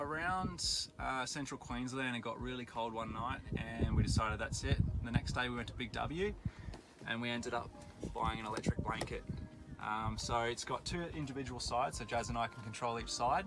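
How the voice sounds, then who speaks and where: With music playing in the background, a man speaks at a fairly quick pace and with ordinary pitch variation. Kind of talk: casual tour commentary. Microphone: phone near.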